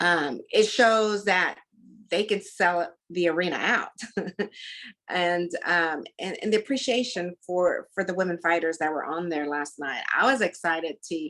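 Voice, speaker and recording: A woman speaks with a Texan accent at a fairly slow pace. Her fairly low voice has a bright, sharp tone and ordinary pitch variation. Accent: Texan Southern. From Texas, Dallas. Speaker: combat sports commentator. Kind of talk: interview. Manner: animated.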